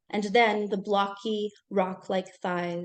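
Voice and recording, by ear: Fairly even intonation from someone reading aloud in a natural voice.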